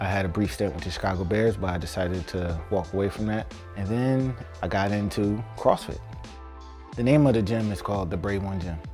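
Faint music plays in the background as a man with a fairly low pitch speaks at a fairly quick pace with ordinary pitch variation. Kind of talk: interview answer. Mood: earnest, motivational. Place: home room.

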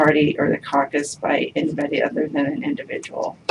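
Noticeable background noise sits behind a woman whose voice has a very deep, low pitch. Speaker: public presenter. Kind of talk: formal briefing to commission. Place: meeting room. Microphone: camera far.

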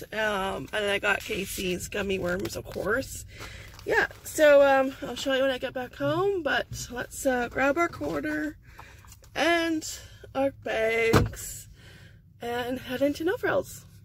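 The speech moves at a very slow pace with very wide pitch swings, recorded dry with no echo over light background noise. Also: woman, high pitch for a woman. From Canada. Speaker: vlogger. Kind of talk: casual vlog narration. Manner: chatty, frequent laughter; halting with fillers.

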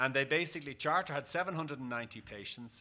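A bright, sharp tone comes from this man. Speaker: conference presenter. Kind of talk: lecture. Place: hall.

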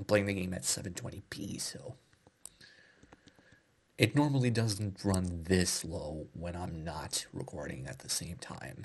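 Soft-spoken and somewhat breathy, a man with a very deep, low pitch talks fairly slowly with lively intonation, long, frequent pauses and big swings in loudness. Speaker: ASMR gaming creator. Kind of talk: casual talk to camera, ASMR gameplay commentary. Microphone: studio mic.

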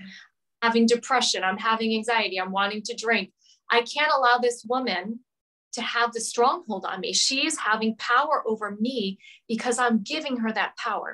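An animated woman with an American accent, fairly high pitch and ordinary pitch variation, a bright, sharp tone, big swings in loudness and a moderate pace over a quiet background. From US Northeast, Rhode Island. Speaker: marriage and family counselor; interview guest. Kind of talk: casual chat. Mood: emotional personal storytelling. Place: home room. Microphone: video call.

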